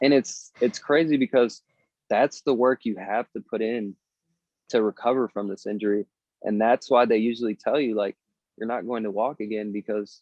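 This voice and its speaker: At a moderate pace, a man with an American accent speaks in a plain, everyday voice, using a medium pitch and fairly even intonation. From Minnesota. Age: 20s. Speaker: motivational speaker. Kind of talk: interview answer.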